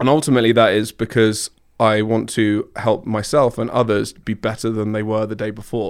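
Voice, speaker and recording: On a very clean recording with a silent background, a man speaks at medium pitch. His pace is moderate and his intonation fairly even. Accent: American. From southern England, Surrey. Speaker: technology marketer, former fitness coach. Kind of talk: casual chat. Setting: studio.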